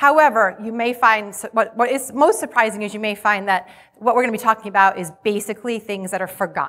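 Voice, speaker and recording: A woman with an American accent speaks at a fairly high pitch and fairly quick pace, with ordinary pitch variation and noticeable background noise. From Rhode Island, US. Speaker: HR conference speaker. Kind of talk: conference presentation to live audience. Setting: stage with audience.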